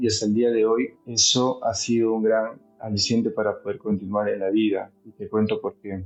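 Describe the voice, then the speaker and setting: With music in the background, a man speaks at medium pitch. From Peru, Huaraz (Andes). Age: 30s. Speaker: mountaineer. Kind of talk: testimony.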